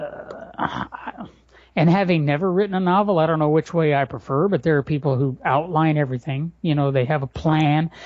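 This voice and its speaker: A man's plain, everyday voice, fairly high in pitch with ordinary variation, at a fairly quick pace. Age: 40s. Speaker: blogger and writer. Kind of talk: casual chat. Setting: home garage.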